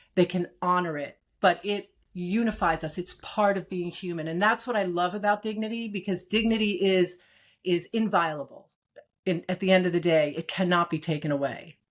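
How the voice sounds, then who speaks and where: Here a woman uses an ordinary speaking voice, medium in pitch, with ordinary pitch variation at a moderate pace. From Brooklyn, New York, US. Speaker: executive and strategist. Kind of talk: interview.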